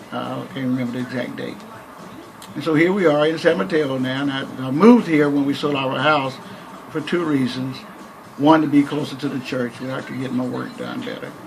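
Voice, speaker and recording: A man with an American accent and a fairly high voice speaks with ordinary pitch variation and big swings in loudness, amid noticeable background noise and audible room echo. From Texas, Waco. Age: 70s. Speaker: minister. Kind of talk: interview. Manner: halting.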